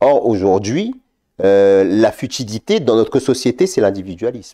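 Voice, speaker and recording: Keeping a fairly slow pace, a man speaks at medium pitch with a dark, mellow tone and ordinary pitch variation. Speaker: religious TV show panelist. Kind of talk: live religious Q&A show. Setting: studio.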